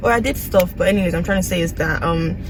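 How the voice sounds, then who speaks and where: A woman is speaking. Noticeable background noise and audible room echo accompany her voice. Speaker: nursing student vlogger. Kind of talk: casual vlog.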